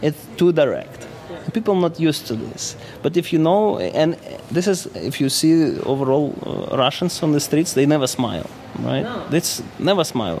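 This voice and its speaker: Noticeable background noise sits behind a man whose fairly high voice shows ordinary pitch variation. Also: moderate pace. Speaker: observer of life in Russia. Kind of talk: casual interview conversation. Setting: hotel lobby.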